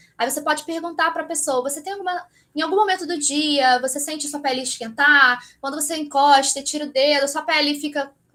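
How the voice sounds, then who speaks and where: A woman projects her high voice with a bright, sharp tone. She talks at a fairly quick pace with ordinary pitch variation. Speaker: aesthetic pharmacist. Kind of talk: lecture. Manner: fast.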